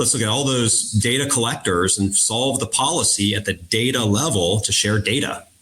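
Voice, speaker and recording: With an American accent and medium pitch, a man talks at a moderate pace with ordinary pitch variation, very even loudness, and hardly any pauses over noticeable background noise. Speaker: defense industry executive. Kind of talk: panel discussion.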